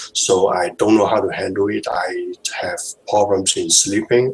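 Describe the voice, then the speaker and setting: With a non-native accent, a man speaks at a fairly slow pace against noticeable background noise. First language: not English. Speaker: hangout participant sharing experience. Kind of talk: video hangout discussion. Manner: halting, many fillers and repetitions.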